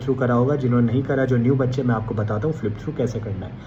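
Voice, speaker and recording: A man's medium-pitched voice with audible room echo and noticeable background noise. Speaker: exam coaching educator. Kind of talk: tutorial.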